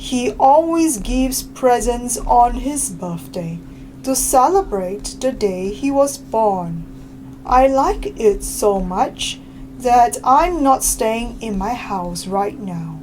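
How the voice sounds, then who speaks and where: Speaking at a very slow pace, a woman puts on a character voice over clear background noise. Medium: read story. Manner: polite, gentle.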